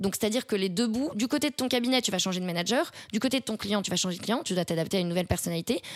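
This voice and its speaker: A woman's voice at medium pitch. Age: 20s. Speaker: marketing strategy consultant. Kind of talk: interview.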